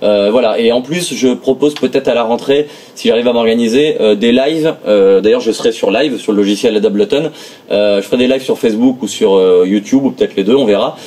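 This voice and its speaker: A man with a medium pitch and ordinary pitch variation keeps a fairly quick pace. His loudness stays very even over noticeable background noise. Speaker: music producer and tech reviewer. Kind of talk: product review. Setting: home studio. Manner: fast; many hesitations (euh).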